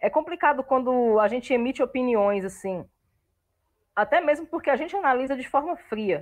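A woman with a high voice talks at a moderate pace, her intonation lively. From Brasília, Brazil. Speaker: university student and football fan. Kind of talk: casual chat.

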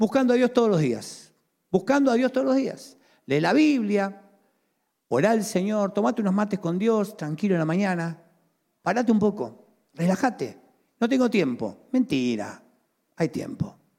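The voice has a dark, mellow tone and a Rioplatense accent. Its intonation is lively, broken by long, frequent pauses. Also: man. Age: 50s. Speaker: pastor. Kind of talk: sermon.

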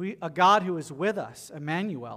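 Delivered at a moderate pace, this voice has a bright, sharp tone, lively intonation, and a Southern US accent. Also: man. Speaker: pastor. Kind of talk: sermon; storytelling. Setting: church.

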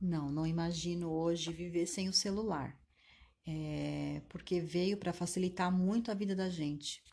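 This woman's voice is fairly low in pitch with a dark, mellow tone. She speaks at a fairly slow pace. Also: fairly even intonation. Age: 50s. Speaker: manicurist. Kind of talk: interview answers.

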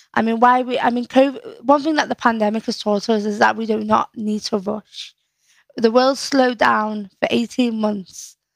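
A woman with a Liverpool accent, fairly high in pitch, at a moderate pace and with fairly even intonation. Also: dry, close sound with no echo. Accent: Scouse. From Liverpool, northern England. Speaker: poet and community activist. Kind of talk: casual chat.

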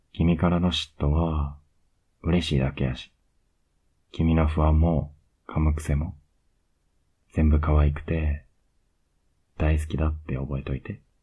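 Over music in the background, a man with a very deep, low pitch speaks in a monotone, flat way with long, frequent pauses. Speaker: ASMR voice actor playing a boyfriend. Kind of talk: asmr boyfriend roleplay, intimate bedtime scene. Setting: close-mic bedtime audio for headphones. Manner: soft, whispery and tender; slow, pet-name sweet talk, lulling her to sleep; affectionate and teasing, with little laughs and cuddling.

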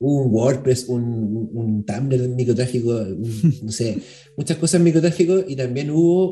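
A man's very fast, somewhat breathy speech with a dark, mellow tone and ordinary pitch variation. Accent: Chilean. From Chile, Santiago (La Florida). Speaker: journalist and podcaster. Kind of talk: casual chat.

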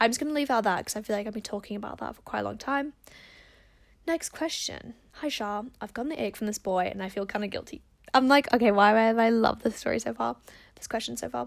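A woman with an Australian accent, animated and very fast, with ordinary pitch variation, on a very clean recording with a silent background. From Perth, Australia. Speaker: podcast host giving advice. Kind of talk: casual solo chat answering listener questions. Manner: fast talker; animated, chatty.

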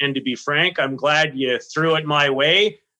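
A man's voice, bright and sharp in tone. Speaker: podcast co-host. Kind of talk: casual chat, podcast interview.

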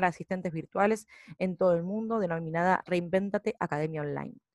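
A woman talks with a normal speaking voice at a fairly quick pace. Her intonation stays fairly even. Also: dry, close sound with no echo. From Argentina. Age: 30s. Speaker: business founder. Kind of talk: prepared presentation. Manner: formal.

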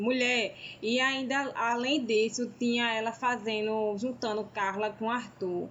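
In a northeastern Brazilian accent, a woman speaks at a very slow pace with fairly even intonation and very even loudness. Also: fairly high pitch for a woman. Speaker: podcast co-host. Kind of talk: casual chat.

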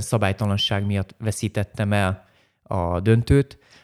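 With a normal speaking voice, a man talks at a fairly low pitch and fairly even intonation, captured dry and close with no echo in a very clean recording with a silent background. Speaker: karate master and former champion. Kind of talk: interview.

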